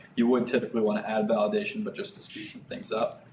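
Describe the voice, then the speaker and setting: A man speaks at a medium pitch with very wide pitch swings. Noticeable background noise sits behind him. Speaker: software developer presenting a live coding meetup. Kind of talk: live coding tutorial. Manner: fast.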